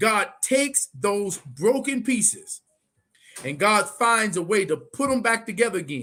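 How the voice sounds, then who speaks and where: A man with a high pitch uses a raised, projected voice, making very wide pitch swings in an animated tone that is bright and sharp. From Muskegon, Michigan. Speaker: pastor and live show host. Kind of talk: casual interview chat. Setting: Facebook and YouTube live stream. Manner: animated, preacherly.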